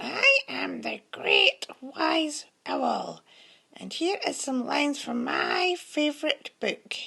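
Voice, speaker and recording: In a raspy, put-on character voice, a female-sounding speaker talks at a very slow pace. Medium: read story.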